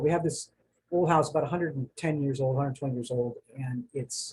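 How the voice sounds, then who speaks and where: With an American accent, a man speaks at medium pitch in a somewhat breathy voice with fairly even intonation. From New Jersey, later Florida. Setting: home study, recorded video. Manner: casual, halting with fillers.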